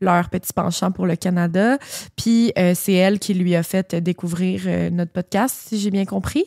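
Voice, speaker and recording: A woman in a Quebec accent at a fairly slow pace, ordinary pitch variation, dry, close sound with no echo, on a very clean recording with a silent background. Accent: Québécois. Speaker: podcast co-host. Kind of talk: casual chat.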